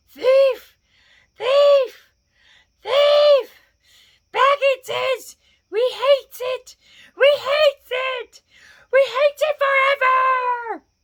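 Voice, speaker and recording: In a squeaky, extremely high put-on character voice, the speaker crawls along at a very slow pace with long, frequent pauses. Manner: menacing, faint, like an echo.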